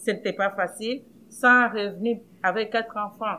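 The woman speaks at a medium pitch with monotone, flat intonation. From Democratic Republic of the Congo. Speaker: housing cooperative director. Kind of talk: personal testimony.

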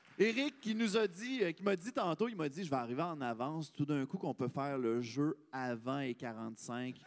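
A man with a Quebec accent at a fairly slow pace, fairly high in pitch, with very wide pitch swings and hardly any pauses. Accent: Québécois French. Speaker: podcast host. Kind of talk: live podcast chat.

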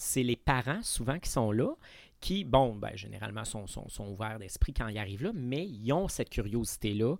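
Lively in intonation and moderate in pace, an ordinary speaking voice comes through a very clean recording with a silent background. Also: man, medium pitch for a man. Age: 40s. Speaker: actor and drag queen. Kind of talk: casual chat.

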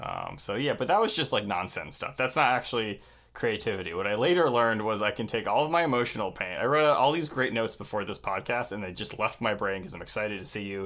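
A man's medium-pitched voice at a very fast pace, bright and sharp in tone, with lively intonation and hardly any pauses. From Long Island, New York. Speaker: punk musician. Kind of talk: casual chat.

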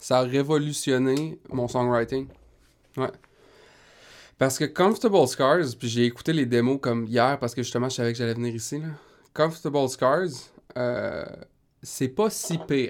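A man with a medium pitch speaks at a fairly slow pace, using long, frequent pauses and ordinary pitch variation. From Quebec, Rimouski. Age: 20s. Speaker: singer-songwriter. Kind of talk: casual interview.

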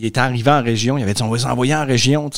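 A man with an unremarkable speaking voice talks at medium pitch with ordinary pitch variation. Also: very clean recording, silent background. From Lac-Saint-Jean region, Quebec. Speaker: engaged citizen, history teacher. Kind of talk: casual chat.

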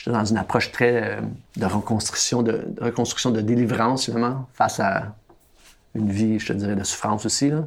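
A man speaks with a Quebec accent in a medium pitch. His pace is moderate and his intonation fairly even. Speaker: documentary filmmaker. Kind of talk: interview.

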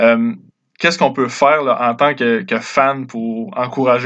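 A man talks at a moderate pace, with a plain, everyday voice. His pitch is medium and the background is quiet. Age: 20s. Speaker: podcast host. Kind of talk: interview.

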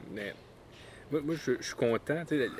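Over noticeable background noise, a man talks at a moderate pace with a Quebec accent. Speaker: podcast host. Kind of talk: casual chat. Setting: outdoors in a backyard.

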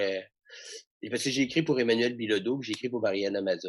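Speaking with an unremarkable speaking voice, a man holds a medium pitch and ordinary pitch variation. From Quebec, Saguenay. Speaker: comedian and comedy writer. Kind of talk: casual interview.

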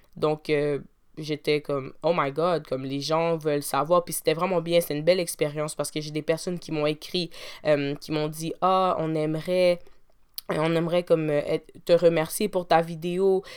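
Monotone, flat delivery at a moderate pace in a very clean recording with a silent background. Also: woman, very deep, low pitch for a woman. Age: 20s. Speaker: podcast host and university student. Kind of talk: solo podcast monologue.

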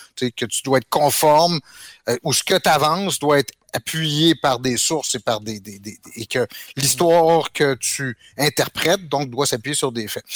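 Fairly slow and in an unremarkable speaking voice, a man speaks in a dry, close recording with no echo and a silent background on a very clean track. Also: fairly high pitch for a man, ordinary pitch variation. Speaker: history teacher. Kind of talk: casual chat.

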